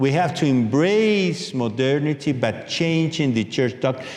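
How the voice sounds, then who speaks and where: At a moderate pace and a fairly high pitch, a man speaks with very wide pitch swings in audible room echo. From Peru. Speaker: author and lecturer. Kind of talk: lecture. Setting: book launch with audience.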